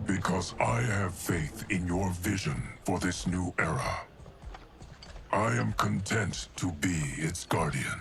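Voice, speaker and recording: Over clear background noise, a man does a put-on character voice with a very deep, low pitch, lively intonation and a fairly slow pace. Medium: short film. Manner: measured, solemn.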